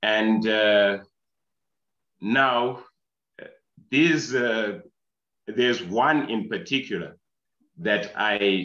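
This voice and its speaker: At a very slow pace with long, frequent pauses, a man with a fairly low pitch and a bright, sharp tone speaks with ordinary pitch variation. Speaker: audience participant. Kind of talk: question in online discussion. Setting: video call.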